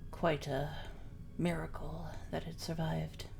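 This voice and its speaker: A woman's put-on character voice at a moderate pace over clear background noise. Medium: actual play. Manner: reserved, a little stiff.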